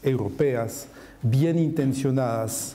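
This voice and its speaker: The man speaks in a French accent with fairly high pitch and ordinary pitch variation. His pace is very slow, and audible room echo surrounds him. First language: French (speaking Spanish). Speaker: macroeconomist panelist. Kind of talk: panel presentation.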